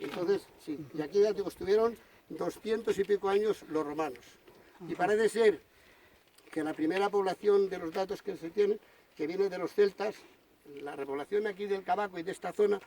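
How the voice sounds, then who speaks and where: A man speaks in a high voice with a dark, mellow tone and ordinary pitch variation. His pace is fairly quick, broken by long, frequent pauses. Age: 60s. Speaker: local historian. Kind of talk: informal talk to visitors.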